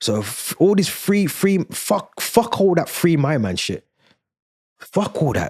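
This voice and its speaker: In a London accent, this voice sounds animated and swings very widely in pitch. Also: man. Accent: London multicultural English. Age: 30s. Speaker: YouTube commentator. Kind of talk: casual commentary monologue.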